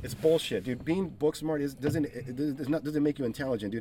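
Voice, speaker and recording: The delivery is very fast, with an American accent. Pitch varies in an ordinary way. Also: man. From East Los Angeles, California. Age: 40s. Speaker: craft brewery owner. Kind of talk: casual chat.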